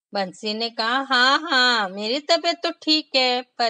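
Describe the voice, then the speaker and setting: A woman's high voice with very wide pitch swings, dry and close with no echo. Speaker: storyteller for children. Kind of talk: children's read story. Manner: expressive, voice modulation.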